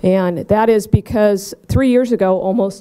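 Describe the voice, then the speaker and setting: Against a quiet background, a woman speaks in a dark, mellow tone with fairly even intonation. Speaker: event host. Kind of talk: ceremony speech. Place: hall.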